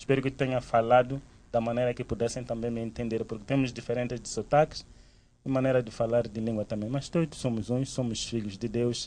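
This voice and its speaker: A man's medium-pitched, dark and mellow voice at a fairly quick pace, with fairly even intonation. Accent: Mozambican. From Mozambique. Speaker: theology student. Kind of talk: casual talk.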